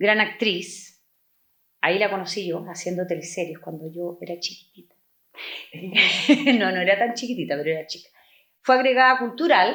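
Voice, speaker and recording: A plain, everyday voice from a woman at a moderate pace with lively intonation. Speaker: podcast co-host. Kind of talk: interview.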